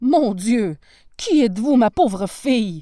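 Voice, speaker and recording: A woman performs a put-on character voice. It sits fairly high and swings very widely in pitch. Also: fairly slow pace. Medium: read story. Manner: warm, gentle.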